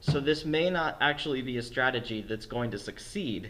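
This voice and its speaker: A man in a normal speaking voice, with lively intonation at a moderate pace. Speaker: esports commentator auditioning. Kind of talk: live match commentary.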